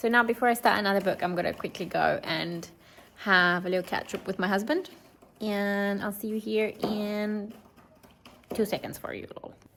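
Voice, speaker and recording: Someone with a Romanian accent speaks at a moderate pace, keeping the intonation fairly even. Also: woman, medium pitch for a woman. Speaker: lifestyle vlogger. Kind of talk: vlog talking to camera.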